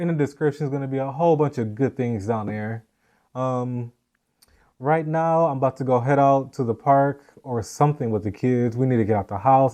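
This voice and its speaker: A man at medium pitch with a dark, mellow tone, fairly quick pace and ordinary pitch variation over a quiet background. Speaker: podcast host and vlogger. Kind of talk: casual chat.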